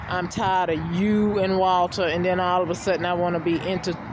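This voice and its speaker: Through audible room echo and noticeable background noise, a woman speaks at a fairly low pitch with fairly even intonation. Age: 50s. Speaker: vlogger. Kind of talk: personal rant vlog. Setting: outdoors. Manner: halting, many fillers.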